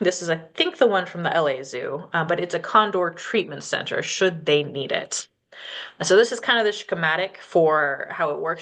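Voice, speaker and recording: A woman with an American accent speaks in a normal speaking voice at medium pitch and a moderate pace. Her pitch variation is ordinary, and the background is quiet. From northern California, Yurok reservation. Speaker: wildlife department director. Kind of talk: presentation with slides. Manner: casual, with filler words.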